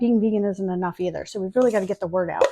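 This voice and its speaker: A woman's voice at medium pitch with ordinary pitch variation. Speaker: baking video host. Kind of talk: tutorial. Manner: fast; casual, filler-heavy.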